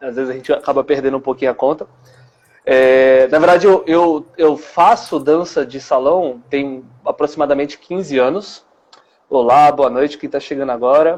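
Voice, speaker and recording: An ordinary speaking voice, its intonation fairly even. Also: man, fairly high pitch for a man, moderate pace. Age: 20s. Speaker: dance teacher. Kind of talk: interview.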